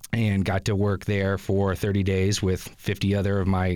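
With a normal speaking voice, a man talks at a moderate pace and a fairly low pitch in a very clean recording with a silent background. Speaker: media production supervisor and instructor. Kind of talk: interview chat. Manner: friendly, conversational with fillers.

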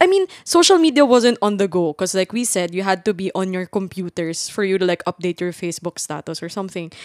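Dry and close with no echo, a woman of medium pitch talks at a very fast pace with hardly any pauses and ordinary pitch variation. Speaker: podcast co-host. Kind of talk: casual chat.

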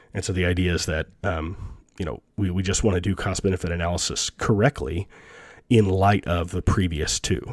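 A man with a very deep, low pitch and ordinary pitch variation speaks at a moderate pace, the sound dry and close with no echo. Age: 30s. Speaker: economics professor and podcast host. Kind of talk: lecture. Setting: online lecture recording. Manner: halting, many fillers and repetitions.

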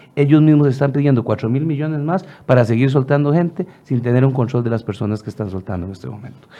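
Speaking very fast with a Costa Rican accent, a man at medium pitch barely pauses and uses ordinary pitch variation. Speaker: legislator. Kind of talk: radio interview.

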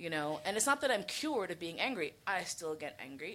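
A woman with a plain, everyday voice and a fairly low pitch talks at a fairly quick pace. The recording is very clean, with a silent background. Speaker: sex educator. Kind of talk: live podcast interview on stage. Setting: stage with audience.

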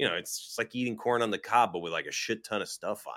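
A very clean recording of a male voice against a silent background. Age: 40s. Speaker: cannabis streamer and cook. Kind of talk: casual chat. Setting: live stream.

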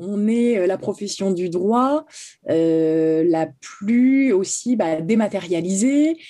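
A woman with a dark, mellow tone speaks very slowly at a medium pitch, her intonation lively and her loudness very even against a quiet background. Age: 30s. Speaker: notary. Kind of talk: interview. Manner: halting, many repetitions.

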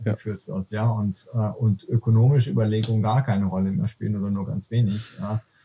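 In a dry, close sound with no echo, a man speaks fairly quickly at a fairly low pitch with ordinary pitch variation. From Swabia, Württemberg (Aalen), Germany. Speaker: economist. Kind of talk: casual interview conversation. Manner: halting, many fillers and restarts.

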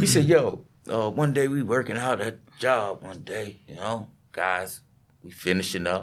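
Speaking with an American accent and a normal speaking voice, the man uses lively intonation at a medium pitch and a fairly slow pace, with big swings in loudness. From US, New York City (Southeastern Queens). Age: 50s. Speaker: construction business owner. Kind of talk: casual interview chat.

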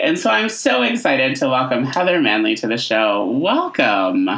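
Against noticeable background noise, a man talks at a moderate pace with very wide pitch swings. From upstate New York. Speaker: podcast host. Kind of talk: interview.

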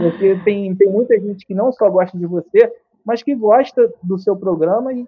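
High male pitch, ordinary variation, and a moderate tempo from a man. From Brazil, Rio de Janeiro state (Niterói, Serra region). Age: 30s. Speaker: journalist. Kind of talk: casual interview. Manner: loud.

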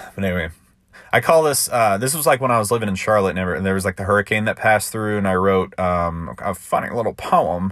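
A man with an unremarkable speaking voice talks at a fairly low pitch and a fairly quick pace. His intonation is lively, and the recording is very clean with a silent background. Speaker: podcast host and amateur poet. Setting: home recording. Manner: relaxed, chatty, filler-heavy, laughing.

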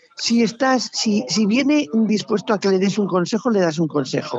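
Very wide pitch swings mark a woman's speech at a moderate pace. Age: old. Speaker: retired police officer. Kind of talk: casual chat. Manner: animated.

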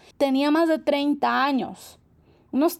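Speaking very slowly, a woman uses a high pitch. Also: very clean recording, silent background. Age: 30s. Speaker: holistic therapist and nutritionist podcast host. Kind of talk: reflective solo monologue. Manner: warm, gentle.

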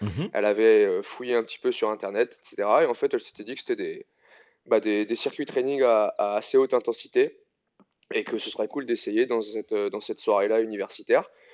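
A man's moderate-paced speech comes through with a dry, close sound with no echo and a quiet background. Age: 30s. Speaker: CrossFit coach. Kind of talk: casual interview.

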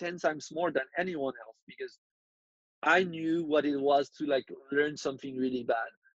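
Speaking in a French accent, a man with a fairly high pitch keeps a monotone, flat intonation at a moderate pace, recorded with a dry, close sound and no echo. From France. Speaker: freelance designer. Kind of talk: interview. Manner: halting, many fillers.

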